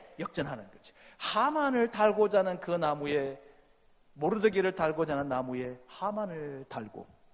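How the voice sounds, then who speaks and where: A man speaks in an animated tone, his pitch swinging very widely. Noticeable background noise runs behind him. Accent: slight Gyeongsang. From South Gyeongsang, Korea. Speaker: pastor. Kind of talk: sermon. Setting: church.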